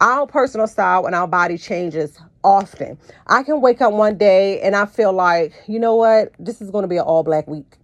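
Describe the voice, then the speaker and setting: An unremarkable speaking voice from a woman, medium in pitch, with lively intonation at a moderate pace. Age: 40s. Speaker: podcast host and personal stylist. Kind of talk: solo podcast monologue.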